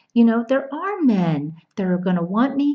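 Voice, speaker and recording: With a New Jersey accent, a woman speaks at a moderate pace. Her pitch is fairly high and swings very widely. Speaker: dating coach. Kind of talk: casual to-camera video talk. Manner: animated.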